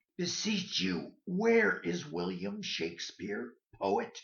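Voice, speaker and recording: A put-on character voice in a low-to-middle pitch drawls at a very slow pace. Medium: stage play. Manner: hesitant, troubled.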